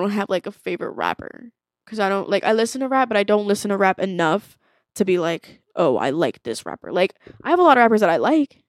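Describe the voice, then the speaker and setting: Speaking at a fairly quick pace, a woman with a medium pitch and an animated tone comes through in a very clean recording with a silent background and a dry, close sound with no echo. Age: 20s. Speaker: podcast co-host. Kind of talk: casual chat.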